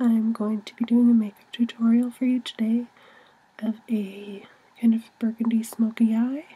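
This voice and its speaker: Against noticeable background noise, a soft-spoken woman talks at a fairly high pitch. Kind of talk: ASMR makeup tutorial.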